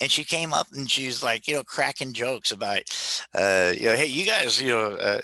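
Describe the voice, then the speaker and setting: A man's unremarkable speaking voice at medium pitch and moderate pace, lively in intonation, very even in loudness, with a dry, close sound and no echo. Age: 50s. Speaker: travel agency presenter. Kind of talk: casual chat.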